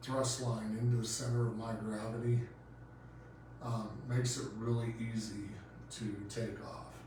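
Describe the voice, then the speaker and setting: There is audible room echo and noticeable background noise. A man of medium pitch talks at a fairly slow pace with monotone, flat intonation. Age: 40s. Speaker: paramotor instructor and podcast host. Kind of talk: casual podcast monologue. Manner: hesitant with many fillers.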